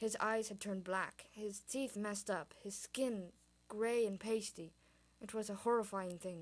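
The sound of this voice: Someone reads in an unforced voice, holding the intonation fairly even.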